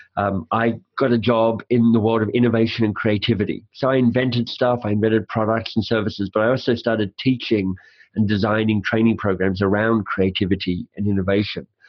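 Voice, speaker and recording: With a slight Australian accent, a man talks at a fairly quick pace in a fairly low pitch, his loudness very even. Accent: faint Australian. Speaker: author and coach. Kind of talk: interview. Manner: fast; animated.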